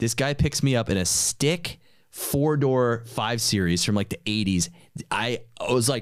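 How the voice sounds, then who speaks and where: With an American accent and lively intonation, a man speaks at a fairly slow pace over a quiet background, the sound dry with no echo. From New York. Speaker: podcast host and entrepreneur; podcast host. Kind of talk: casual chat. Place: studio. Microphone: studio mic.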